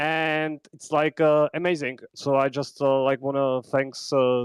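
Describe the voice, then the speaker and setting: In a dry, close recording with no echo, a man with a Czech accent speaks at a moderate pace and a fairly high pitch with monotone, flat intonation. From Czech Republic. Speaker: podcaster, content creator. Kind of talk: call-in comment on live audio space. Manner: halting, many fillers.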